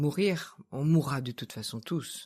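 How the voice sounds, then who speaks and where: Very deep, low pitch from a woman, dark and mellow in tone, at a fairly slow pace, in a very clean recording with a silent background. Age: 60s. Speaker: therapist. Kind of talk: interview conversation.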